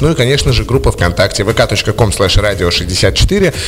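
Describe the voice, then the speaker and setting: Noticeable background noise sits behind speech delivered at a very slow pace. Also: man. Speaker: radio host. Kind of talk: casual radio interview. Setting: studio.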